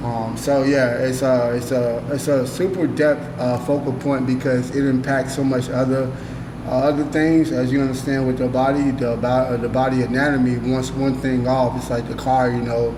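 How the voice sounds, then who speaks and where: A man speaks at a moderate pace in a medium pitch, with monotone, flat intonation and hardly any pauses. Noticeable background noise and audible room echo fill the recording. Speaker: podcast host and author. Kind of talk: casual monologue about his book and life. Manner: halting, many pauses and fillers.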